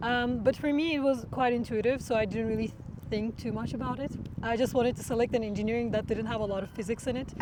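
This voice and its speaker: A woman's fairly high voice in a Turkish accent at a very fast pace, with noticeable background noise. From Turkey. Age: 20s. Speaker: machine learning researcher. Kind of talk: interview. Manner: hesitant with many fillers.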